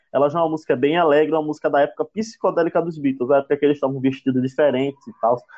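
A man with a fairly high pitch talks at a very fast pace with hardly any pauses. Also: ordinary pitch variation. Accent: northeastern Brazilian. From Brazil, Northeast. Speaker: podcast co-host. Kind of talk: casual chat. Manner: halting.

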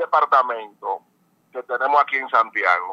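This man's voice has a bright, sharp tone, recorded with a dry, close sound and no echo. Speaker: police general. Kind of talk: press briefing by phone.

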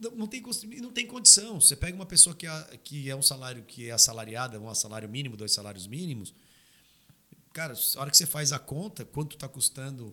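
A man speaks at a fairly quick pace with a bright, sharp tone and very wide pitch swings. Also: fairly high pitch for a man, big swings in loudness. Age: 30s. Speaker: knife maker and labor consultant. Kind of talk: casual chat. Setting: studio.

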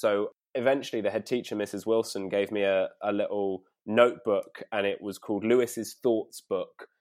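This man speaks with a London accent at a moderate pace, with ordinary pitch variation. The recording is very clean, the background silent. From North London. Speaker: poet and performer. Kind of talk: casual chat. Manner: halting.

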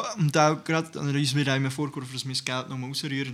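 With fairly even intonation, a man speaks in a plain, everyday voice. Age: 20s. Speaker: youth party podcast host. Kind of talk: casual chat.

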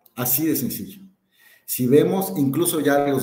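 A man talks at a fairly slow pace in a fairly high pitch. His voice is somewhat breathy, with audible room echo. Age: 40s. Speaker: corporate sustainability director and university lecturer. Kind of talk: live webinar panel discussion. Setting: online webinar, live stream.

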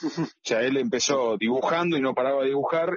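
A man in a Rioplatense accent at medium pitch. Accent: Argentine Rioplatense Spanish. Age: 50s. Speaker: comic book illustrator. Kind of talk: interview. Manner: halting, many repetitions.

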